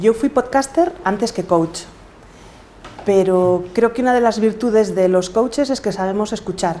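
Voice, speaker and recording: Over noticeable background noise, a woman talks with a Galician accent. Her intonation is lively and her pace fairly slow. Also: fairly high pitch for a woman. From Galicia, Spain. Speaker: podcaster and coach. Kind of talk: interview.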